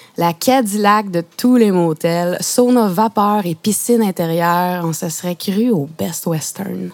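With noticeable background noise behind her, a woman of medium pitch speaks at a very slow pace with hardly any pauses and ordinary pitch variation. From Quebec (Saguenay, PEI, Outaouais). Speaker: playwright and poet. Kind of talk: poetry reading. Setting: mobile radio studio truck at outdoor exhibition.

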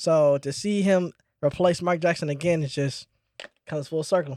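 A man at a fairly high pitch and moderate pace, fairly even intonation, dry and close with no echo. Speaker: podcast co-host. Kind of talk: heated argument. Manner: loud, emphatic, interrupting, insistent.

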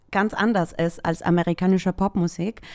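On a very clean recording with a silent background, a woman with a Spanish accent speaks in a medium pitch with fairly even intonation. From El Salvador. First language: Spanish (speaking German). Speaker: social media worker, K-pop fan. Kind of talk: casual interview. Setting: studio, sitting next to host.

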